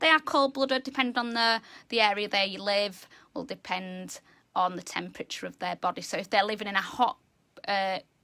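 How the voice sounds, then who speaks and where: Loud and bright with a sharp tone, a woman speaks at a moderate pace with ordinary pitch variation in a dry, close sound with no echo. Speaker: animal educator. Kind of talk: educational talk. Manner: animated.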